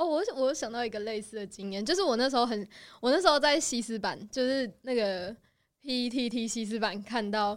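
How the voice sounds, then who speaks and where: A woman speaks fairly quickly in a normal speaking voice, fairly high in pitch, with ordinary pitch variation. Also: very clean recording, silent background. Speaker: host's friend. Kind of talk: casual chat.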